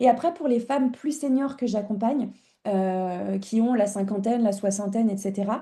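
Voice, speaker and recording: Against a quiet background, a woman speaks at a moderate pace with fairly high pitch. Her tone is dark and mellow, and somewhat breathy. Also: ordinary pitch variation. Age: 30s. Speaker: image consultant. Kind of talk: interview. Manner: halting, many fillers.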